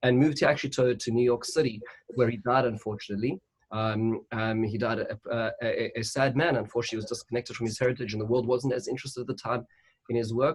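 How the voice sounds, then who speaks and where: A man with a South African accent, very fast pace, fairly even intonation and a somewhat breathy sound. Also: medium pitch for a man. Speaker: rabbi. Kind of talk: interfaith panel discussion. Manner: halting, many repetitions.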